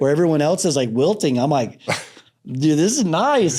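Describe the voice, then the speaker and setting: With a Southern US accent, a man speaks at a fairly quick pace in a fairly high pitch, his intonation lively. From Alabama, US. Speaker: Navy corpsman veteran, coach. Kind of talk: interview answer. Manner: casual, slangy.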